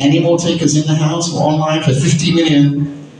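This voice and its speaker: A man's fairly high-pitched voice in monotone, flat intonation at a moderate pace, with light background noise and audible room echo. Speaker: auctioneer. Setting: auction room with live audience plus phone and online bidders. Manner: playful suspense-building, teasing the room before the hammer. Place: hall.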